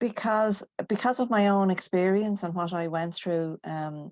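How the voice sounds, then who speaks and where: A woman with an Irish accent speaks fairly slowly, with ordinary pitch variation, against a quiet background. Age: 60s. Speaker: guest. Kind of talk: interview.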